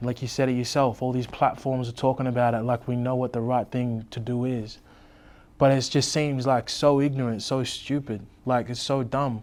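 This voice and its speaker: The delivery is monotone and flat, at a moderate pace, with an Australian accent. The recording is very clean, with a silent background. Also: man, medium pitch for a man. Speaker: rapper. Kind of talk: interview.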